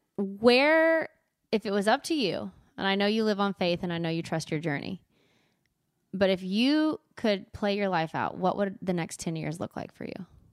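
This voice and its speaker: In a Texas accent, a woman with a medium pitch talks at a moderate pace, her tone animated and her intonation lively, on a very clean recording with a silent background and a dry, close sound with no echo. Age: 30s. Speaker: podcast host. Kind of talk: casual interview.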